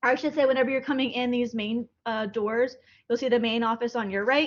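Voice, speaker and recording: A woman's high-pitched voice carries fairly even intonation. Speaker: college statistics instructor. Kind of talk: lecture. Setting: classroom. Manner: fast; casual.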